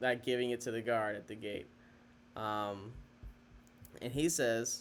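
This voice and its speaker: Delivery comes at a fairly slow pace with fairly even intonation. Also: man, medium pitch for a man. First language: not Chinese; English speaker. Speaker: Chinese language learner teaching vocabulary. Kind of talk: tutorial. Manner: halting, many fillers and self-corrections.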